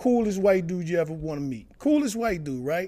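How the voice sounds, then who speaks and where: Speaking at a fairly quick pace with an American accent, a man has a high pitch and a dark, mellow tone. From Washington DC area and northern Virginia. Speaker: stand-up comedian. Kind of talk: casual interview.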